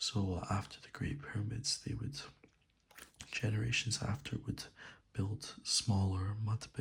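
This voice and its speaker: Soft-spoken and somewhat breathy, a man talks at a fairly slow pace. His pitch is medium. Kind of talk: soft-spoken ASMR reading.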